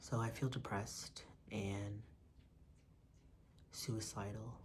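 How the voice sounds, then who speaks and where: A soft-spoken, somewhat breathy man, fairly low in pitch, very slow, with fairly even intonation and audible room echo. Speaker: video blogger. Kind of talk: personal vlog monologue. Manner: quiet, soft-spoken; halting.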